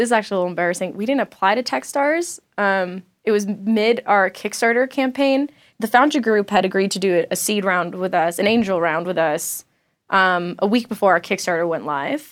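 An unremarkable speaking voice talks at a fairly quick pace on a very clean recording with a silent background. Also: woman, medium pitch for a woman. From South Florida, Latin community. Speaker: tech startup founder and CEO. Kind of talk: interview. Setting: studio.

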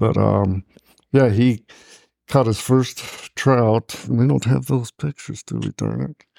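Recorded with a dry, close sound and no echo, a man with an American accent talks at a fairly slow pace, with long, frequent pauses and big swings in loudness. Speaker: bereaved father. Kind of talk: personal storytelling.

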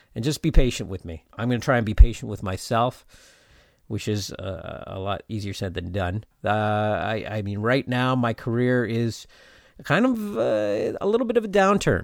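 A man speaks at a moderate pace in an unremarkable speaking voice, medium in pitch with ordinary pitch variation and big swings in loudness. The recording is very clean, with a silent background. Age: 40s. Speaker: podcast host and actor. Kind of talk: casual chat. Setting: home interview recording.

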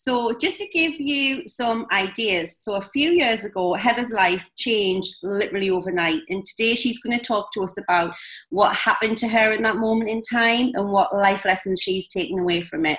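With a Scottish accent, a woman talks at a moderate pace with hardly any pauses, her fairly high voice carrying lively intonation. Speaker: podcast host. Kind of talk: interview.

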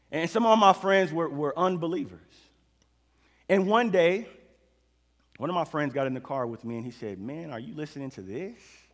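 A man with an American accent and a fairly high pitch, at a moderate pace with long, frequent pauses and very wide pitch swings, on a very clean recording with a silent background. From Oklahoma City, US. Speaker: preacher. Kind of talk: sermon.

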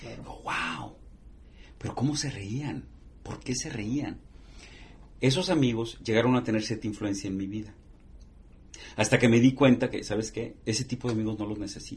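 Somewhat breathy and at medium pitch, a man speaks with ordinary pitch variation, big swings in loudness, and long, frequent pauses. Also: moderate pace. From northern Mexico border (Matamoros, Tamaulipas). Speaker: TV journalist. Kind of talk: interview.

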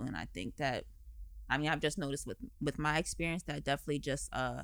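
On a very clean recording with a silent background, a woman with an American accent speaks at a very deep, low pitch with vocal fry. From Delaware, US. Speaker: singer-songwriter and model. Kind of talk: interview. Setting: studio.

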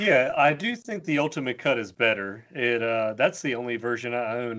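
With an ordinary speaking voice, a man talks at medium pitch with ordinary pitch variation. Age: 30s. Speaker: artist and illustrator. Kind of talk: casual chat.

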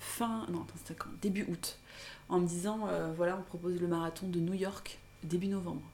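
Audible room echo surrounds a woman speaking at a moderate pace. Her fairly low-pitched voice has monotone, flat intonation. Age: 30s. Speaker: blogger. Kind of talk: casual chat.

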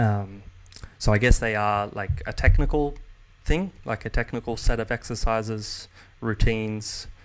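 In an Australian accent, a man with a fairly low pitch speaks with fairly even intonation. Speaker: jazz guitarist and guitar teacher. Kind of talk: casual chat. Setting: video call.

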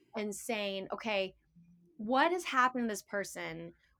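Using an unremarkable speaking voice, a woman speaks at a medium pitch and a fairly quick pace, her intonation lively. The recording is very clean, with a silent background. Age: 50s. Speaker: naturopathic doctor and teacher. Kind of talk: casual chat.

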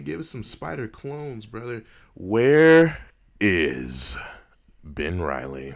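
A man's animated tone with very wide pitch swings and big swings in loudness, in a very clean recording with a silent background. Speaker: podcast co-host. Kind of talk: casual chat. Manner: animated, profane.

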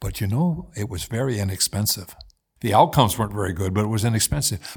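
A man with an American accent, a fairly low pitch and a somewhat breathy voice, on a very clean recording with a silent background. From US Midwest, Indiana. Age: 80s. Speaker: former mayor. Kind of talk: casual interview conversation.

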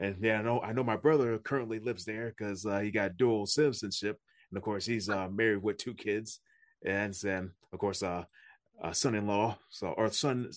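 This is an ordinary speaking voice, a man's at fairly low pitch, moving at a moderate pace with fairly even intonation against a quiet background. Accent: American. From upstate New York, Niagara Falls. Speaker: podcast host, martial arts instructor. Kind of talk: casual interview chat.

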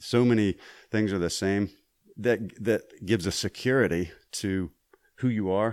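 At a moderate pace with long, frequent pauses, a man with a Southern US accent talks at a fairly low pitch in a very clean recording with a silent background. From Mississippi. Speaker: voice actor and Army veteran. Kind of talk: casual interview chat. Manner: halting with repetitions.

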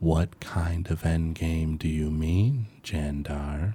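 A man uses a put-on character voice, very deep and low. He speaks very slowly with fairly even intonation. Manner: eerie.

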